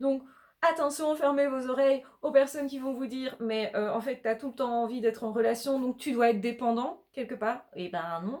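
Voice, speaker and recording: A woman's high voice moves at a moderate pace with ordinary pitch variation. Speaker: life coach / YouTuber. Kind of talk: vlog monologue. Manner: energetic, stumbling at times.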